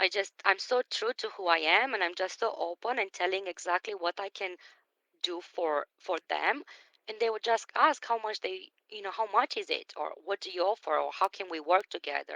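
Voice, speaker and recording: Speaking with a non-native accent, a woman uses a medium pitch, ordinary pitch variation and a bright, sharp tone at a moderate pace. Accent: foreign. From Romania. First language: Romanian. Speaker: business coach. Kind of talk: live stream talk. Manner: animated.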